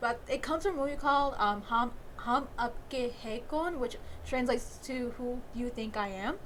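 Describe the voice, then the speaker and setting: In a room with audible echo, a woman speaks at a moderate pace with fairly high pitch and ordinary pitch variation. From Bengali heritage. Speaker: YouTube movie reviewer. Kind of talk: video commentary breakdown. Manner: casual with many fillers.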